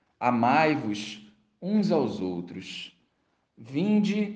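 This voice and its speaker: In a Brazilian accent, a man speaks with a solemn tone and very wide pitch swings. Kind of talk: fervent prayer. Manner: devout, solemn, slow and reverent; intimate, pleading, imploring tone.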